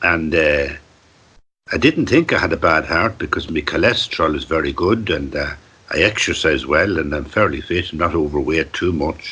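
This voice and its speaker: Against a quiet background, a man with an Irish accent speaks at a moderate pace in a very deep, low voice with a bright, sharp tone and ordinary pitch variation. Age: 60s. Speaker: storyteller and writer. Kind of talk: podcast interview. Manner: animated.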